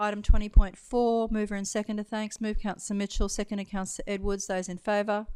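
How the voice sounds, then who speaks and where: On a very clean recording with a silent background, a woman with an Australian accent speaks at a medium pitch with fairly even intonation. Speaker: council meeting chair. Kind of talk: formal meeting procedure. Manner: fast.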